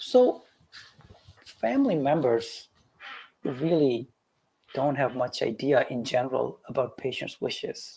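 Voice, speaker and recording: Speaking at a very slow pace, a man talks with a Pakistani accent. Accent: South Asian (Pakistani) English. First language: Urdu. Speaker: physician. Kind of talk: lecture.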